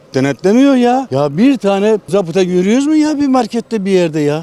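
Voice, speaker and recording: A man's high voice at a moderate pace with lively intonation, against noticeable background noise. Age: 70s. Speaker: retiree, street interview interviewee. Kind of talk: street interview. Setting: outdoors, street.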